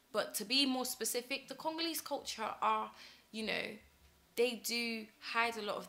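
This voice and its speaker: A woman with a British accent, bright and sharp in tone, at a moderate pace with ordinary pitch variation. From UK. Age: young. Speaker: talk show presenter. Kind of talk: personal monologue. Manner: hesitant with frequent fillers.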